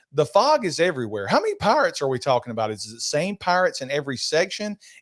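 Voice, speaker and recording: With an American accent, a man speaks at a very fast pace, his loudness swinging widely. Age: 60s. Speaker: podcast host. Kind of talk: casual chat.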